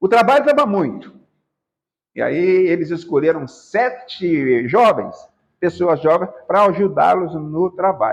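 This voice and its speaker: Speaking at a fairly slow pace, a man with a high pitch swings his pitch very widely. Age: 70s. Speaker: spiritist lecturer. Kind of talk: religious lecture. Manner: halting, many fillers and repetitions.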